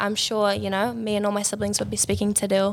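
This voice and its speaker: Speaking very fast with a New Zealand accent, a woman uses a medium pitch and vocal fry. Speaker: recent university graduate, Māori language student. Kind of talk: casual interview.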